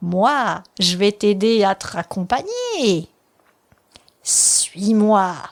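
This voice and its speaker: A woman's put-on character voice at a very slow pace, with long, frequent pauses. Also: medium pitch for a woman. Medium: read story. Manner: sly, smooth.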